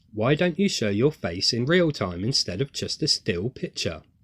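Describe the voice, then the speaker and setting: In a very clean recording with a silent background, a man speaks in a somewhat breathy voice with very wide pitch swings. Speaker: faith-based video creator and writer. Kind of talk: scripted monologue read from script. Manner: nervous, stumbling over words.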